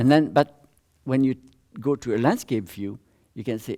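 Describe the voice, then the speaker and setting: A man with a French accent and a dark, mellow tone speaks at medium pitch and a moderate pace on a very clean recording with a silent background. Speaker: social learning theorist, visiting professor. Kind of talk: academic talk with audience Q&A. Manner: halting, with self-corrections.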